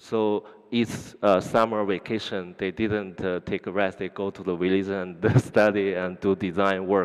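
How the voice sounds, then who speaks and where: With a Chinese accent, a man speaks at a fairly slow pace and fairly low pitch in a flat, monotone delivery. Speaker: interpreter. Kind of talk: live interpretation. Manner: halting.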